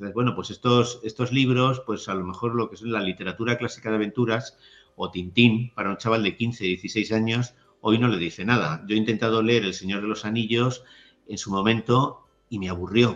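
A man's normal speaking voice, medium in pitch with fairly even intonation, at a moderate pace against a quiet background. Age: 60s. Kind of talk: interview conversation.

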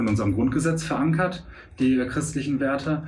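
Noticeable background noise and audible room echo accompany a man speaking at a fairly quick pace. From Münster, Westphalia, Germany. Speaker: stand-up comedian. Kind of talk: casual interview chat.

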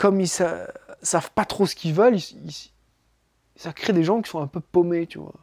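The man has a high pitch and a dark, mellow tone. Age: 30s. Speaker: podcaster. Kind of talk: improvised solo monologue. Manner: halting, many fillers.

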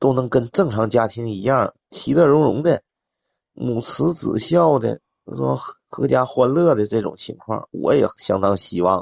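Speaking fairly slowly, a man uses an unremarkable speaking voice at medium pitch. His intonation is lively, and his loudness swings widely. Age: 40s. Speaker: caller. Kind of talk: casual chat.

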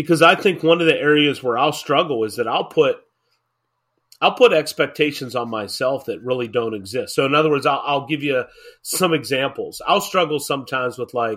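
An unremarkable speaking voice from a man, fairly high in pitch with ordinary pitch variation, at a moderate pace. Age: 40s. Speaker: pastor and podcast host. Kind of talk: casual chat.

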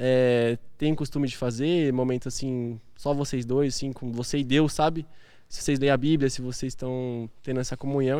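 At a fairly quick pace, a man speaks at a fairly high pitch in a normal speaking voice. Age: 20s. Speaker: physiotherapy student and salesman. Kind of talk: casual chat.

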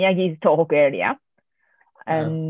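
A woman speaks in a Japanese accent. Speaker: amateur sports club organiser and podcast host. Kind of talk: casual interview.

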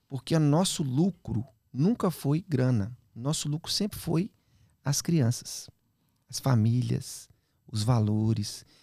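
On a very clean recording with a silent background and a dry, close sound with no echo, a somewhat breathy man at a medium pitch talks at a very slow pace with lively intonation and long, frequent pauses. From Minas Gerais, Brazil (Belo Horizonte). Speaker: children's YouTube creator and musician. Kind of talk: casual podcast interview.

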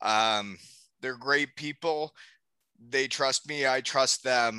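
Very slow speech from a man at medium pitch, bright and sharp in tone, with ordinary pitch variation and a quiet background. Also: dry, close sound with no echo. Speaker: podcast host; former hockey player, now runs a department. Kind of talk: casual, swears.

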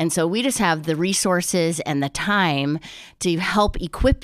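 Against a silent background in a very clean recording, a woman talks at a moderate pace. She has an unremarkable speaking voice, fairly low in pitch with ordinary pitch variation. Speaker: podcast co-host. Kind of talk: casual chat.

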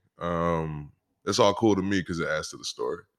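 Moderate-paced speech from a man with ordinary pitch variation, very cleanly recorded against a silent background. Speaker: musician and former football player. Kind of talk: casual interview chat.

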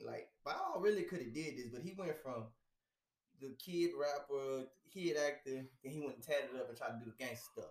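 A man with an American accent and a normal speaking voice, fairly high in pitch, with ordinary pitch variation and a moderate pace. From Houston, Texas. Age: 40s. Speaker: podcast co-host. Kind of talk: casual chat.

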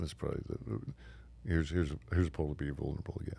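Very deep and low, this man's voice has a dark, mellow tone. His intonation stays fairly even. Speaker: Marine veteran and business owner. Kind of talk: interview conversation. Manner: halting, many repetitions and fillers.

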